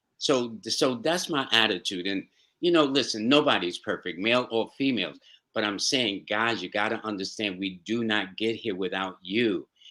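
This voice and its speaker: Over a very clean recording with a silent background, a man with a New York accent talks at a moderate pace, using a medium pitch and ordinary pitch variation. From New York City. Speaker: astro-numerologist. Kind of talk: interview answer. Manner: warm, upbeat.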